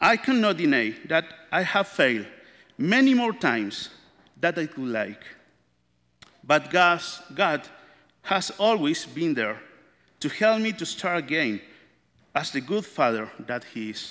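The tone is bright and sharp, with very wide pitch swings and long, frequent pauses. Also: man, high pitch for a man, fairly slow pace. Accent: Spanish. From Chile. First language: Spanish. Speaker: church member, father. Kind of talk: testimony.

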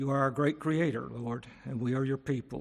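Here is a man with a plain, everyday voice at a medium pitch. His intonation is fairly even and his pace moderate. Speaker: congregation member leading prayer. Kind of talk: prayer. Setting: church.

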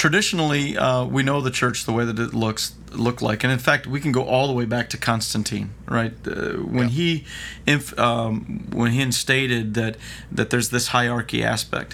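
At a moderate pace, a man speaks with ordinary pitch variation. His is an unremarkable speaking voice with a medium pitch. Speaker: podcast host. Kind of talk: casual chat. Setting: studio.

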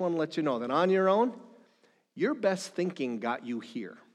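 Against a quiet background, a man with an Upper Midwest accent speaks fairly quickly in a high pitch with very wide pitch swings. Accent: Upper Midwest American. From northern Minnesota. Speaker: pastor. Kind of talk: sermon.

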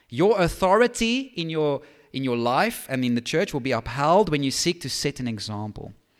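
Very wide pitch swings from a man with a fairly high voice, moderate pace, very clean recording and silent background. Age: 30s. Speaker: pastor. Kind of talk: sermon. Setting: church.

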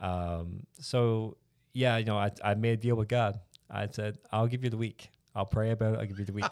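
The recording is very clean, with a silent background. A man with a normal speaking voice talks at a moderate pace, with a fairly low pitch and fairly even intonation. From rural Newfoundland, Canada. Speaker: church planter candidate. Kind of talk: interview about life story.

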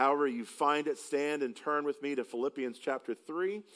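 Here a man speaks with a Southern US accent. His pitch is fairly high, with ordinary variation. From upstate South Carolina. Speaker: preacher. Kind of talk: sermon. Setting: church.

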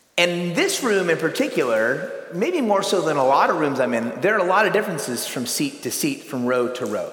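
A high-pitched man with an American accent, very wide pitch swings and hardly any pauses, with noticeable background noise and audible room echo. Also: fairly quick pace. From California. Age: 40s. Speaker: pastor and retreat speaker. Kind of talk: sermon.

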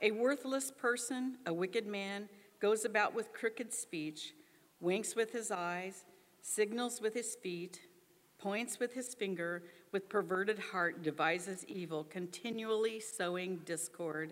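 Her voice is an unremarkable speaking voice, a woman's at medium pitch with ordinary pitch variation. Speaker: scripture reader. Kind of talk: reading aloud.

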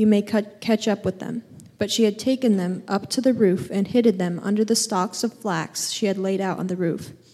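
With a dark, mellow tone, a woman speaks at a fairly high pitch. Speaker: scripture reader. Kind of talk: reading aloud. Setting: church.

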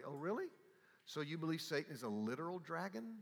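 A man's very fast, fairly high, warm-toned speech with a Southern US accent. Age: 70s. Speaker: theology teacher. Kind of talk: lecture. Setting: stage with audience. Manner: warm, humorous.

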